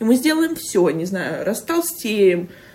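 A somewhat breathy woman's voice. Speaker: podcast host. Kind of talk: casual chat. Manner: fast.

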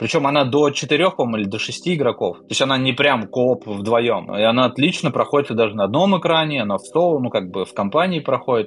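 A man speaks in a plain, everyday voice with lively intonation. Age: 30s. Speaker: podcast co-host. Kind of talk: casual chat.

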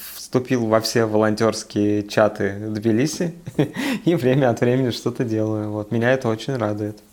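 Here a man with a plain, everyday voice speaks at a moderate pace with fairly even intonation, in a very clean recording with a silent background. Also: medium pitch for a man. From Siberia, Russia. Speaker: podcast co-host. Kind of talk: casual chat.

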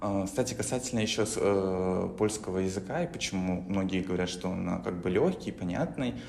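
Speech comes at a fairly quick pace with ordinary pitch variation. There is audible echo from the room. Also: man. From Belarus. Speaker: podcast host. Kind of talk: casual chat.

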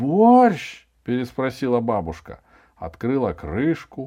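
With an animated, playful tone, a man speaks at a medium pitch. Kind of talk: literary audiobook reading, narration with character dialogue. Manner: animated, expressive storyteller who plays dialogue lines with playful, lively intonation.

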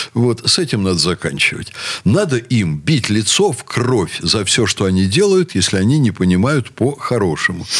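Man at medium pitch and moderate pace, very wide pitch swings and very even loudness, with noticeable background noise. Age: 60s. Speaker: university rector. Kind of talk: radio talk show discussion.

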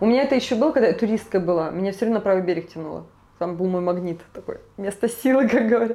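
Very fast and dark, mellow in tone, a woman speaks at a medium pitch with ordinary pitch variation. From Siberia, Krasnoyarsk. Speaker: tour guide. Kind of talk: casual interview chat.

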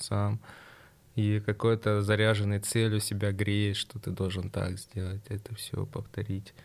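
A man at a fairly low pitch, monotone and flat, at a fairly slow pace. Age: 20s. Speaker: sport shooter. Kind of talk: interview.

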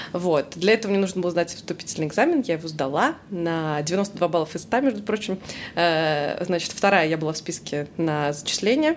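A woman with a plain, everyday voice speaks at a moderate pace, her pitch varying in an ordinary way. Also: fairly low pitch for a woman. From Russia, Samara. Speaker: English teacher. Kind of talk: casual chat.

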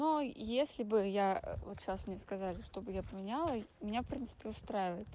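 A woman speaks in a fairly high pitch with a dark, mellow tone. Her intonation is lively and her pace moderate. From Urals, Russia (near Yekaterinburg). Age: 20s. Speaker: project manager. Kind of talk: recorded testimony.

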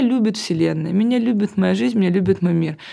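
In a very clean recording with a silent background, a woman with vocal fry talks at a fairly quick pace. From Russian Far East, Vladivostok. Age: 30s. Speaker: agency partner and blogger. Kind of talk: casual interview.

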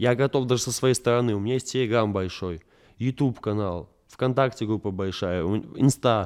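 Recorded very cleanly with a silent background, a man speaks at a moderate pace in a medium pitch. His pitch variation is ordinary, and it is a normal speaking voice. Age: 20s. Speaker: pop MMA fighter and blogger. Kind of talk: casual interview.

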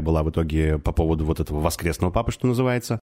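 A man's very deep, low voice. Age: 30s. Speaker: divorced father. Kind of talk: casual chat.

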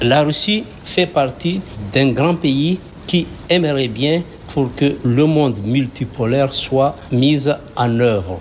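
Against noticeable background noise, a man speaks at a very slow pace and a fairly high pitch, with ordinary pitch variation, very even loudness, and long, frequent pauses. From Madagascar. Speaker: diaspora community leader. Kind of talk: interview. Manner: halting.

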